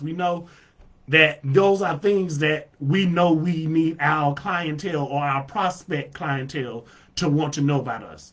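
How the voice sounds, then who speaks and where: The speaker talks loudly at a fairly slow pace, with an animated tone and ordinary pitch variation. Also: man. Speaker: marketing coach streaming live. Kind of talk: live stream tutorial. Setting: live video stream.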